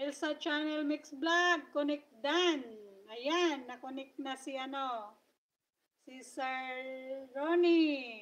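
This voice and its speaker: A high-pitched woman's voice at a very slow pace, with big swings in loudness. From Philippines. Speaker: vlogger. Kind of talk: livestream chat. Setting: live stream. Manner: casual, chatty with fillers. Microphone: voice cutting out.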